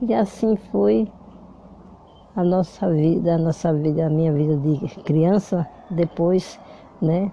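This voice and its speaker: Very slow and full of long, frequent pauses, the speech has lively intonation and very even loudness. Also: woman, fairly low pitch for a woman. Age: 80s+. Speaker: grandmother telling life story. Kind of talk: casual chat. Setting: at home with granddaughter. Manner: halting.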